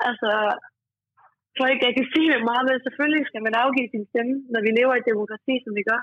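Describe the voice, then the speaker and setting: Speaking at a fairly quick pace, a woman with a high pitch keeps fairly even intonation while her loudness swings widely. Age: 20s. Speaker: youth panel member, home care worker. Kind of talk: interview.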